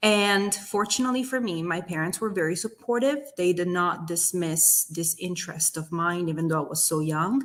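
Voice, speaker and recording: In an Italian accent, a woman speaks at a moderate pace. Her voice sits fairly low in pitch. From southern Italy, near Naples. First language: Italian (Neapolitan). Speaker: business owner. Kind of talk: interview testimony. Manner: passionate.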